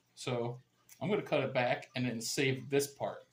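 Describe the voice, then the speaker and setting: A man is speaking. His pace is fairly slow. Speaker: gardening YouTuber. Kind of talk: tutorial. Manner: casual, conversational.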